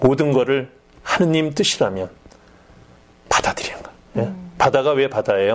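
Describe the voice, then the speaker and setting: A man's fairly high-pitched voice at a moderate pace, with lively intonation and long, frequent pauses. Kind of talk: religious education talk show.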